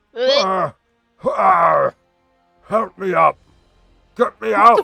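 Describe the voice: Faint music plays in the background as a man speaks very slowly in a put-on character voice.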